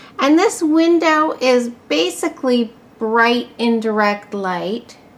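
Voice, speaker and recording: A woman's high-pitched, lively voice at a very slow pace. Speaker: plant collector vlogger. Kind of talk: casual vlog chat. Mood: pleased, warm. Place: home room. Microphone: phone near.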